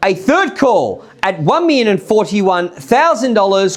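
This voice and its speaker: A man's high voice with an Australian accent, lively intonation and a fairly slow pace, amid noticeable background noise. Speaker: auctioneer. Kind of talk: live auction calling. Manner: loud.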